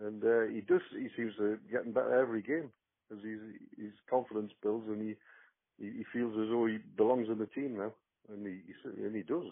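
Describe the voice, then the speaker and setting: A man speaks at a fairly quick pace in a medium pitch, his intonation fairly even while his loudness swings widely. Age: 60s. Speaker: football fan. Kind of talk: casual chat. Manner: halting, many fillers and repetitions.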